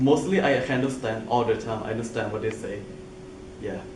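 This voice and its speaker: The speech moves at a fairly quick pace. There is noticeable background noise along with audible room echo. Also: man. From Thailand. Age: 20s. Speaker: international university student. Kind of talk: interview. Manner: halting, non-native grammar.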